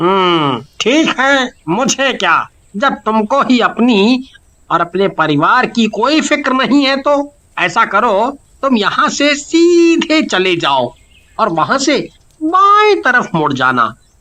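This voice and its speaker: Fairly slow in pace and fairly high in pitch, the speaker performs a put-on character voice. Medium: read story. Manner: ominous, grumbling.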